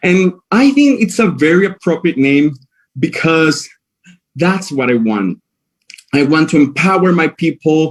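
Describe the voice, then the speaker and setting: A man with a Spanish accent speaks fairly slowly at a fairly high pitch, pausing long and often. His intonation is lively while his loudness stays very even. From Venezuela, Maracaibo / La Guajira, Wayuu. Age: 20s. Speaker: pageant contestant, cabin crew. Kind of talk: prepared presentation. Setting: live stream with jury. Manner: hesitant, with fillers.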